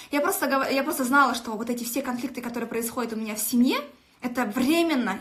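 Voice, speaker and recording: Speaking at a very fast clip in a high voice, a woman sounds animated as the room's echo rings audibly around her. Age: 20s. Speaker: network marketing director. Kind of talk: motivational live stream. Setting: live video stream.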